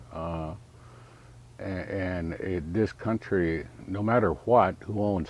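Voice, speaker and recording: A very deep, low male voice with an American accent. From US Southwest. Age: 60s. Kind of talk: interview. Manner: halting, many filler uhs.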